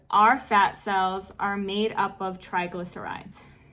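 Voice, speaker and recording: Her tone is bright and sharp. The woman talks at a fairly slow pace. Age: 20s. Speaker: fitness YouTuber and personal trainer. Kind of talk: casual Q&A vlog.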